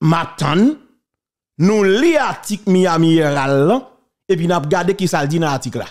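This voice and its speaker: A man with a Haitian accent, high-pitched and animated, at a fairly slow pace with long, frequent pauses and ordinary pitch variation. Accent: Haitian Creole-accented French. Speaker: online talk show host. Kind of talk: political commentary.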